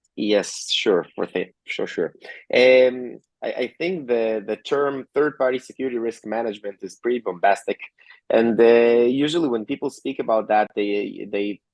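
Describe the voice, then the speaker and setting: A man with an Israeli accent speaks at a moderate pace and medium pitch with ordinary pitch variation, and the sound is dry and close with no echo. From Georgia (country), later Israel. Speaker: tech company co-founder and CTO. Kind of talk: interview. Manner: frequent fillers and tag questions.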